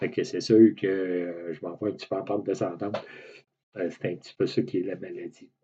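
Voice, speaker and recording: With a Quebec accent, a man speaks at a fairly quick pace as his loudness swings widely. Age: 60s. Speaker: patient with a rare muscle disease. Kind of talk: personal testimony to camera. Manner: hesitant, many fillers.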